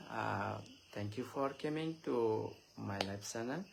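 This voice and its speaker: At a very slow pace, a man with an Indian accent talks with ordinary pitch variation. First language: Chakma. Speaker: Buddhist monk giving a Dhamma talk. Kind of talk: live-streamed dharma talk. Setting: Facebook live stream. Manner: halting, many filler sounds.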